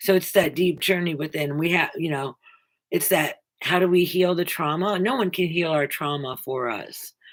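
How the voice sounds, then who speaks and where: A woman's ordinary speaking voice, fairly low, at a moderate pace with ordinary pitch variation. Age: 60s. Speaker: spiritual self-help video host. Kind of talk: inspirational monologue.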